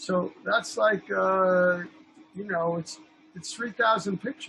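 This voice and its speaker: With an American accent, a man uses a raised, projected voice at a high pitch, speaking at a moderate pace with lively intonation. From New York. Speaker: film director and photographer. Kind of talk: casual chat.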